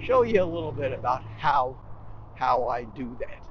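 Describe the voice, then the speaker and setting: A man speaks with a dry sound and no echo. Noticeable background noise runs underneath. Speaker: lifestyle vlogger. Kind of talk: casual vlog chat. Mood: relaxed, cheerful. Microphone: lapel.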